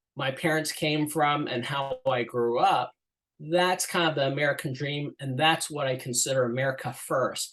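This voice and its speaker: This man's voice is fairly high in pitch. He talks at a fairly slow pace. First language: Chinese. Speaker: political candidate and construction business owner. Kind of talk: interview. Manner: hesitant fillers, conversational.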